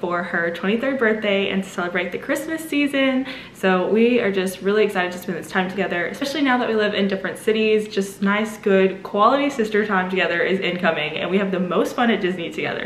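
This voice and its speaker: A woman's very fast speech with hardly any pauses and ordinary pitch variation, amid audible room echo and light background noise. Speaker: travel vlogger. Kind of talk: casual vlog chat. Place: home room. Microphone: phone near.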